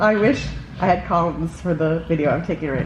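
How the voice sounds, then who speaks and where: Noticeable background noise sits behind a woman with a very deep, low pitch and ordinary pitch variation. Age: 30s. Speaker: travel vlogger.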